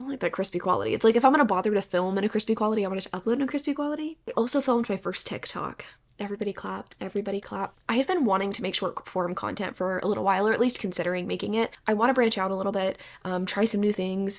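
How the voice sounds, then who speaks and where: A woman talks very fast, with hardly any pauses. Her medium pitch carries ordinary pitch variation. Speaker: booktuber vlogger. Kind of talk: casual vlog.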